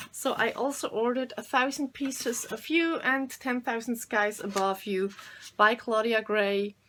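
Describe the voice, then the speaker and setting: A woman speaks with a German accent at a moderate pace. Her pitch is fairly high, with ordinary pitch variation. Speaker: booktuber. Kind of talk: casual chat. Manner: halting.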